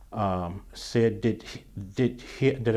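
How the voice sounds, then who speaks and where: Lively intonation marks this man's medium-pitched voice, which has a dark, mellow tone. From US South, Birmingham, Alabama. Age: 70s. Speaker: retired newspaper copy editor. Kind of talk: oral history interview. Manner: halting, many restarts and fillers.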